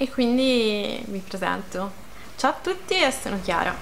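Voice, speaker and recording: A woman speaks at a medium pitch with ordinary pitch variation over light background noise. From Sardinia, province of Sassari; Sardinia. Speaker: YouTuber; vlogger. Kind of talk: casual vlog self-introduction. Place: home room. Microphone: phone near.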